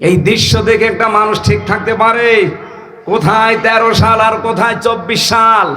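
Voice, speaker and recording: Against noticeable background noise, a man projects a raised, high-pitched voice in a dramatic tone, his intonation monotone and flat and his loudness very even. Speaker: Islamic preacher and lecturer. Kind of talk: Islamic sermon (waz) to a large crowd. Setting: outdoor mahfil with PA system. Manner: emotional, dramatic storytelling.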